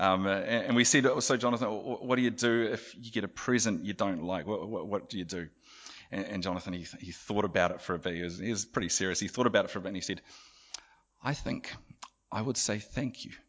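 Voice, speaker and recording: A man talks in a fairly low pitch with ordinary pitch variation. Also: fairly quick pace. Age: 40s. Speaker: preacher. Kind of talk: sermon. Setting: church. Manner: halting.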